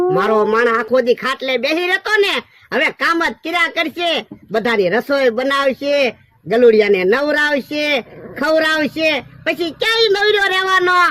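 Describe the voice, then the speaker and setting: In a cartoonish character voice, a man projects loudly at an extremely high pitch and a fairly slow pace. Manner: rustic, sly.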